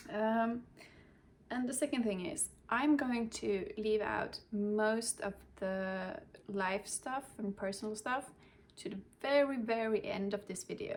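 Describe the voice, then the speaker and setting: A woman in a Swedish accent speaks at a fairly slow pace with long, frequent pauses, a fairly high pitch and ordinary pitch variation. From Sweden. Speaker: cross-stitch vlogger. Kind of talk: casual show-and-tell vlog. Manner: halting, with fillers.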